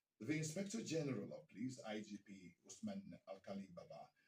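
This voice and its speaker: With a dark, mellow tone, a man talks in a somewhat breathy voice full of lively intonation. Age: 60s. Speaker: radio broadcaster, news anchor. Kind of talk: radio news bulletin.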